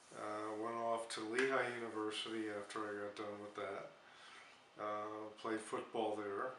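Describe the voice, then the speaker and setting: Fairly low in pitch, a man speaks slowly in a monotone, flat way. Noticeable background noise and audible room echo fill the recording. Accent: American. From US Northeast, Bethlehem, Pennsylvania. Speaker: war veteran. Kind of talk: interview. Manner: halting, many fillers.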